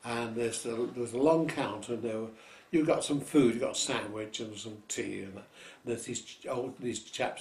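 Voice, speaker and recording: A man with a medium pitch and a somewhat breathy voice speaks at a moderate pace with fairly even intonation. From London. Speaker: variety performer. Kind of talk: interview answer. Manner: casual, anecdotal.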